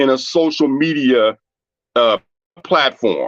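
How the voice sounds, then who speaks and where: A plain, everyday voice with an American accent moves at a moderate pace. The sound is dry and close, with no echo. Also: man. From Washington, D.C. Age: 60s. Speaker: caller. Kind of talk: casual discussion.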